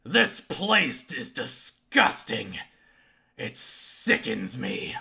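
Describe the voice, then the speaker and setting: A man puts on a raspy character voice with a high pitch, speaking at a very slow pace. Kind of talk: theatrical. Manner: disgusted, sneering.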